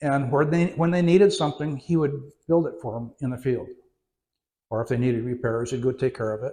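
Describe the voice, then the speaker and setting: A fairly quick, somewhat breathy man's voice in an American accent, medium in pitch with ordinary pitch variation and a dark, mellow tone. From California and Oregon, US West Coast. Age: 80s+. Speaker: retiree telling his life story. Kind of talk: interview before an audience. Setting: audience in a community venue. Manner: halting, many fillers.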